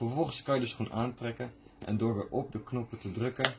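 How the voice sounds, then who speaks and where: Somewhat breathy, a man talks at a fairly slow pace against noticeable background noise. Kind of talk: product unboxing tutorial. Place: shop. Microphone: phone near.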